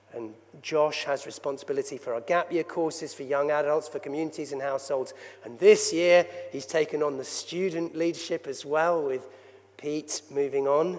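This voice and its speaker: The speaker uses a normal speaking voice, with fairly even intonation and a moderate pace. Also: man, fairly high pitch for a man. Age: 60s. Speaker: church leader. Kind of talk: sermon. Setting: church.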